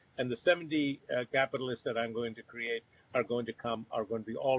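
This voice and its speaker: A man speaks at a fairly quick pace with fairly even intonation and a medium pitch. It is a plain, everyday voice. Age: 60s. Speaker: company founder and CEO. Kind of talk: virtual interview.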